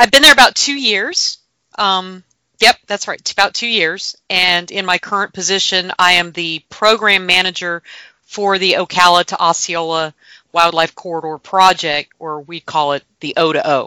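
In a normal speaking voice with an American accent, a woman talks at a moderate pace in a medium pitch with ordinary pitch variation, in a very clean recording with a silent background and a dry, close sound with no echo. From North Florida, Gainesville. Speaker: land conservation program manager. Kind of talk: interview.

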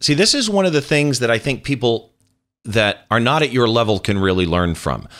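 Fairly quick and very even in loudness, a man's plain, everyday voice carries lively intonation at a medium pitch on a very clean recording with a silent background. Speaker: podcast host. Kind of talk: interview.

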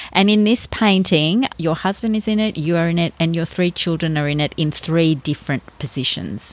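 This woman has an unremarkable speaking voice, fairly low in pitch with ordinary pitch variation. She keeps a moderate pace and very even loudness, with hardly any pauses. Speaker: podcast host, interviewer. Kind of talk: interview conversation. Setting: recorded in a garage studio with open door.

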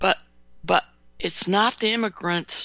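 This woman speaks at a fairly slow pace. She takes her time with the words. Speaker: radio host. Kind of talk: radio interview. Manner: halting.

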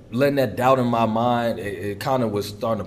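Audible room echo surrounds a man talking at a very fast pace. His intonation stays fairly even. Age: 20s. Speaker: college football player. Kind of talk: interview. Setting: practice facility.

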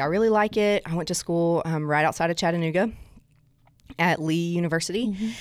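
Someone with an American accent speaks with fairly even intonation in a very clean recording with a silent background. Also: woman. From South Alabama. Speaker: guest experience director at a church. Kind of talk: casual interview chat.

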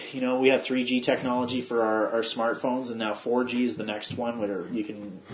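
At a moderate pace, a man speaks in a plain, everyday voice of medium pitch. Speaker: podcast host. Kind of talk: casual podcast chat.

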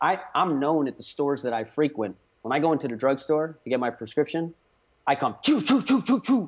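Animated in tone, a man speaks at a fairly quick pace in a fairly high voice with lively intonation. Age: 40s. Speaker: biomechanist and inventor. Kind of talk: casual interview chat.

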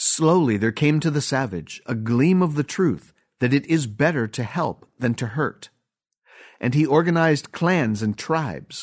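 The man's tone is dramatic. His pitch is fairly high and his intonation lively. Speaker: Masonic bulletin narrator. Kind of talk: reading aloud a written essay in solemn, oratorical style. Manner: formal, stately, solemn; rhetorical, measured preacher-like cadence with dramatic pauses.

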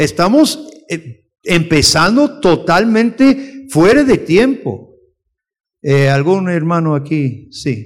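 At a very slow pace with long, frequent pauses, a man speaks in a high voice that makes very wide pitch swings. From outside Costa Rica. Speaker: missionary theologian teaching a lesson. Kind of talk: sermon-style lecture to a congregation.

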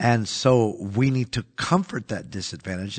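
In a normal speaking voice, a man talks at a moderate pace and medium pitch, with ordinary pitch variation and a dry, close sound with no echo against a quiet background. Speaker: pastor. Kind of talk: casual religious podcast discussion. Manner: conversational, uses fillers.

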